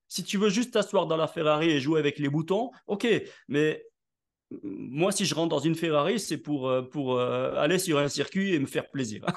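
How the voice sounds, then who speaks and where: Against a quiet background, a man with an unremarkable speaking voice talks at a fairly slow pace. His pitch is fairly high and his intonation lively. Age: 60s. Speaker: network marketing leader, author and speaker. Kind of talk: interview.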